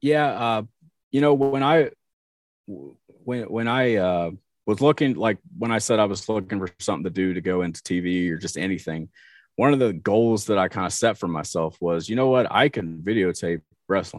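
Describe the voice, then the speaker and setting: With an American accent, a man with a fairly low pitch talks at a moderate pace using lively intonation. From US Midwest, southern Ohio (Portsmouth). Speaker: church media director and camera operator. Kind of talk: casual interview. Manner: hesitant, many fillers.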